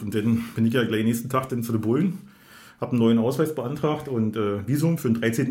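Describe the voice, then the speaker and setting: A man's somewhat breathy, medium-pitched voice at a very fast pace, with audible room echo. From Berlin, Germany. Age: 40s. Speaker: podcast host. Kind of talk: casual chat. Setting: studio.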